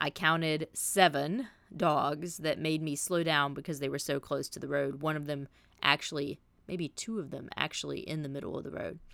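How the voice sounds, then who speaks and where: A woman's very deep, low-pitched voice with a Southern US accent and vocal fry, fairly even intonation at a moderate pace, on a very clean recording with a silent background. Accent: Southern US (Georgia). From US South, south Georgia. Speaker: podcast host. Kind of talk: podcast intro monologue. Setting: fishing shack.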